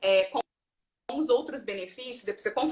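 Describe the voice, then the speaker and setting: A woman with a bright, sharp tone. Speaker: social security lawyer. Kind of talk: live-stream legal talk. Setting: online live stream. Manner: halting, many fillers.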